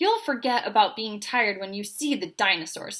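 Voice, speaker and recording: A woman does a growling put-on character voice at a fairly high pitch and a fairly quick pace. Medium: read story. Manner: warm, patient.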